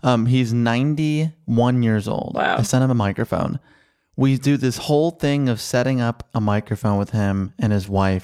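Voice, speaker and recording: A man with a medium pitch and a dark, mellow tone speaks at a moderate pace with ordinary pitch variation and very even loudness, in a dry, close sound with no echo. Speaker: podcast producer and film critic. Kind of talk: casual chat and film discussion.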